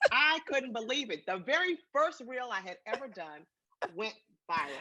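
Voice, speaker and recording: With an American accent, a woman talks at a moderate pace in a high voice whose pitch swings very widely. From Washington DC. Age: 60s. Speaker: retired civil servant and social media personality. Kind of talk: interview.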